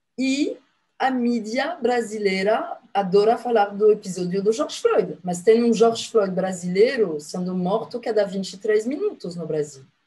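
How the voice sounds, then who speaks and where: Speaking in a French accent, a woman has a fairly high pitch. Her pace is fairly slow. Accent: foreign (French) accent in Portuguese. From France. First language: French (speaking Portuguese). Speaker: activist and former consul. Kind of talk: TV interview. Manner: hesitant, many filler sounds.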